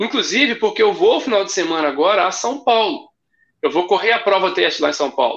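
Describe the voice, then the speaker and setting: With a bright, sharp tone and a high pitch, a man speaks at a moderate pace. His pitch swings very widely. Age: 30s. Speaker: running event ambassador. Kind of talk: casual chat.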